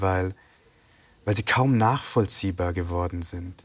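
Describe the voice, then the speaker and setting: A man talks in an ordinary speaking voice at a fairly low pitch and a moderate pace. His intonation is fairly even on a very clean recording with a silent background. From Bavaria, Germany (Sri Lankan Tamil family). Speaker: novelist. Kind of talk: interview. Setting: TV studio.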